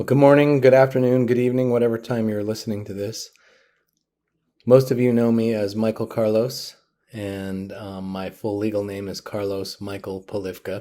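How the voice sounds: Very clean recording with a silent background, a man speaking at a moderate pace. His pitch is fairly low, with little movement, and his tone is dark and mellow.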